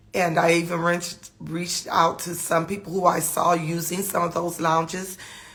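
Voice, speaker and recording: There is noticeable background noise while a woman talks at a fairly slow pace. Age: 50s. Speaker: trichologist. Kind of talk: casual live talk. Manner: halting, many fillers and repetitions.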